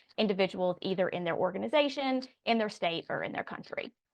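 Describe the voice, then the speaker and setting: A woman with a Southern US accent talks at a medium pitch with ordinary pitch variation. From Raleigh, North Carolina. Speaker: public affairs consultant, former chief of staff. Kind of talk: interview answer.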